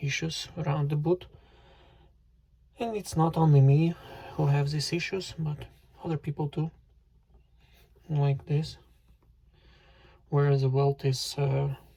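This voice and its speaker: A man speaks at a fairly slow pace in a fairly high, somewhat breathy voice. His intonation stays fairly even, broken by long, frequent pauses. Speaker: boot reviewer, YouTuber. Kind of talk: tutorial. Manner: halting, with fillers.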